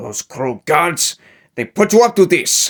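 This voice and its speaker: In a put-on character voice, a man speaks high for a man at a fairly slow pace, on a very clean recording with a silent background. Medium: audio drama. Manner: florid, self-regarding.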